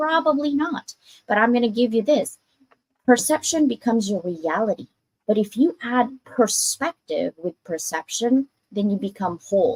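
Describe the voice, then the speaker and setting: A loud, animated woman's voice with very wide swings in pitch. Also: dry, close sound with no echo. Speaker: author and anthology publisher. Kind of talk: casual interview chat.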